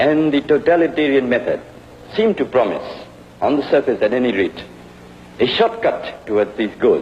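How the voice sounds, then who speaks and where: A man with a Burmese accent speaks at a moderate pace, with noticeable background noise. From Burma (Rangoon). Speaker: history professor. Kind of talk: university lecture.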